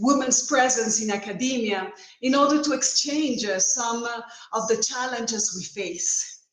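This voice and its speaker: A woman talks at a moderate speed in a fairly high voice whose pitch varies in an ordinary way, with noticeable background noise and audible room echo around her. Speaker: law professor. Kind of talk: conference talk.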